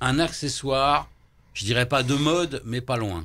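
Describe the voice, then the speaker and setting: Vocal fry marks this man's medium-pitched voice at a fairly slow pace. The recording is very clean, with a silent background. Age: 60s. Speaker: political candidate, shaman healer. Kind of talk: radio interview. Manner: hesitant, many fillers.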